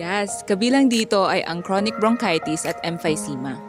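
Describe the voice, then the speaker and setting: A woman talks at a moderate speed with music behind her. Her voice sits at a middle pitch. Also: ordinary pitch variation. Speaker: student. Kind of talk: scripted health infomercial.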